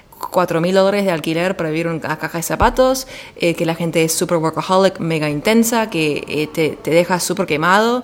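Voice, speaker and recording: Over noticeable background noise, a woman with an Argentine accent speaks at a fairly low pitch with ordinary pitch variation and hardly any pauses. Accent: Argentine Spanish, near native. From US, Washington DC. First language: English (speaking Spanish). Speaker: podcast guest. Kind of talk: casual chat.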